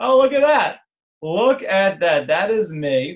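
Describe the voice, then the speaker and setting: A man with a New Jersey accent talks with lively intonation. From New Jersey, North Jersey. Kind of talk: live online class. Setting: live video stream. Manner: casual, animated.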